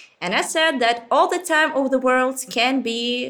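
A woman projects her voice, raising it high. Her pitch is high and her tone bright and sharp. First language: Ukrainian or Russian. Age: 20s. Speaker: museum researcher and guide. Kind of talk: interview. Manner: animated; halting.

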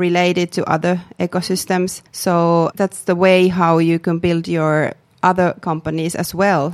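In a dry, close sound with no echo on a very clean recording with a silent background, a woman with a Finnish accent speaks at a fairly low pitch, monotone and flat, at a fairly slow pace. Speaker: public sector startup official, author. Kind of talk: interview. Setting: studio. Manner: halting.

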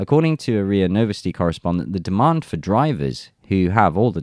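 With an English accent, a man talks fairly quickly in a very deep, low voice with lively intonation, the sound dry and close with no echo. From England. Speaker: news commentary channel host. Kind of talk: reading news articles aloud with commentary.

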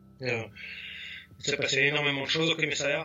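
Noticeable background noise sits behind the speaker. A man talks at a fairly quick pace with a fairly high pitch. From Paris region, Val d'Oise. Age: 40s. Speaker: graffiti artist. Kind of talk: casual interview.

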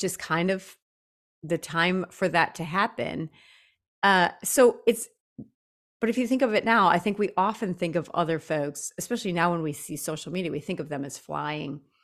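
On a very clean recording with a silent background, a woman with an unremarkable speaking voice, fairly low in pitch, talks at a moderate pace in an American accent with lively intonation. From US Midwest, Janesville, Wisconsin. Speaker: podcast co-host. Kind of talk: casual conversation. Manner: laughs often.

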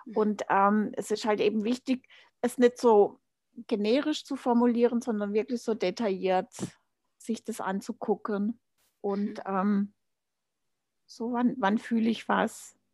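A woman's fairly high voice, very slow and fairly even in intonation, with long, frequent pauses and a dry, close sound free of echo. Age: 50s. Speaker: life coach. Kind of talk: interview. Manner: hesitant, many fillers.

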